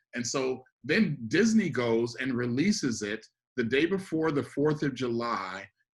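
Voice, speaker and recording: A man with a medium pitch speaks at a fairly slow pace with lively intonation. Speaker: podcast co-host. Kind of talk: casual discussion. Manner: halting, many fillers.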